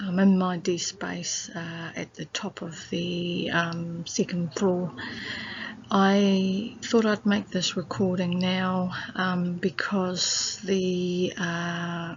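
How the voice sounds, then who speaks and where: A soft-spoken woman talks in a somewhat breathy voice with a New Zealand accent. Her pace is very slow and her intonation monotone and flat. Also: medium pitch for a woman. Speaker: researcher. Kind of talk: reflective audio diary. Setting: library. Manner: halting.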